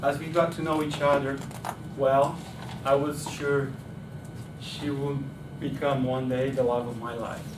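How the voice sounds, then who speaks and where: Amid noticeable background noise and audible room echo, a man speaks fairly slowly in a fairly high, monotone, flat voice, with long, frequent pauses. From Brazil. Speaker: club speaker. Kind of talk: prepared speech. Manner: hesitant with fillers.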